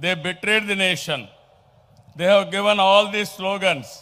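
The man talking has a high-pitched voice. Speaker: politician addressing a rally. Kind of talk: political rally speech. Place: stage. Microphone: podium.

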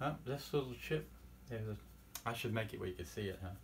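A man's voice sounds somewhat breathy. Light background noise runs underneath. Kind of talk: tutorial. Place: workshop. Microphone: camera far.

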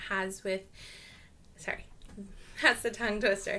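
A woman speaks in a bright, sharp tone. Light background noise runs underneath. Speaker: online English teacher. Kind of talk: casual vlog chat. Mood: cheerful, friendly. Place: home room. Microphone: webcam.

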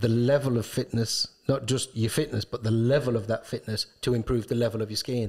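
At a moderate pace and medium pitch, a man speaks in a flat monotone against a quiet background. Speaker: ski shop owner and co-host. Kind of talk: casual chat. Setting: studio. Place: studio. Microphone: studio mic.

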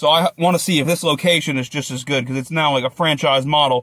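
A man speaks at a very fast pace in a dry sound with no echo. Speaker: food vlogger. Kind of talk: casual vlog chat. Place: car. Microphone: phone near.

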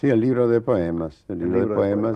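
A man's voice, fairly low in pitch. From Puerto de Santa María, Andalusia, Spain. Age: 70s. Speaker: poet and painter. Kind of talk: TV interview answer. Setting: TV studio. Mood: reflective, reminiscing. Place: studio.

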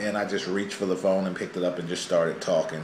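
A man speaks at a fairly low pitch. There is audible room echo and light background noise. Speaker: family vlogger. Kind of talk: casual vlog chat. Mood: joking, playful explanation. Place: home room. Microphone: camera far.

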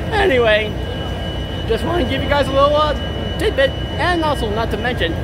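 A man rattles off his words very fast while music plays behind him. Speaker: vlogger at train event. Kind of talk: casual vlog chat. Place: street. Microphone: phone near.

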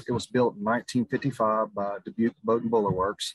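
A man speaks at a moderate speed, the sound dry with no echo and the background quiet. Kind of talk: interview answer. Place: boat. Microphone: video call.

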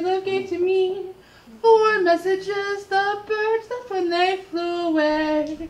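A woman speaks at a very slow pace with lively intonation. Audible room echo surrounds her voice. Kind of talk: comic reading on stage. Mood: playful, comedic. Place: stage. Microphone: camera far.

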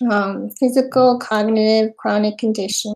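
With an American accent, a woman speaks at a moderate pace in a fairly high pitch and fairly even intonation against a quiet background. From US, Queens, New York; New York. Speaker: event moderator presenting slides. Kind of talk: webinar presentation. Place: home room. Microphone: webcam.

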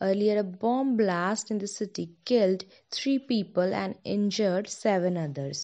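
At a fairly slow pace, a woman talks in a plain, everyday voice of medium pitch with ordinary pitch variation. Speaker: news reader. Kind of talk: scripted news bulletin read aloud, steady and formal. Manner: formal, even-paced, businesslike delivery.

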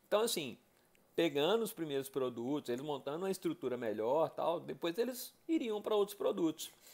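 This high-pitched man talks fairly quickly, his pitch swinging very widely. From Brazil, Belo Horizonte (Minas Gerais). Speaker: education and nonprofit management professional presenting a business case. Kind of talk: casual presentation of a case study. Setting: self-recorded video. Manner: conversational, with fillers and self-corrections. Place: bathroom. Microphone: earbuds.

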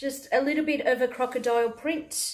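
Her pitch is high, and the woman's intonation is lively. The background is quiet. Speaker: fashion haul vlogger. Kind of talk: casual vlog chat. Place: home room. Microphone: phone near.

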